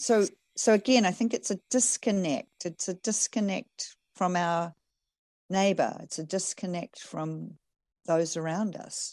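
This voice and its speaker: A woman with an American accent at a fairly slow pace and medium pitch, with ordinary pitch variation, a dry, close sound with no echo, and a quiet background. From New Zealand. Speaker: farmer and coach. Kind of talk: casual interview conversation.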